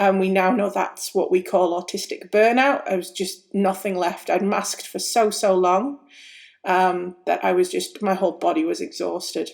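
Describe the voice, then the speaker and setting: A woman with a British accent at a moderate pace, on a very clean recording with a silent background. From UK. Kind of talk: personal testimony.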